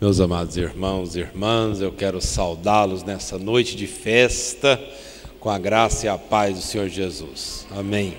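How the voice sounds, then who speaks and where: A man with a Minas Gerais accent, fairly low pitch and ordinary pitch variation at a fairly slow pace, with audible room echo and noticeable background noise. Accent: mineiro. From Brazil, Triângulo Mineiro (Minas Gerais). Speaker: pastor. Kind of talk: sermon. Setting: church.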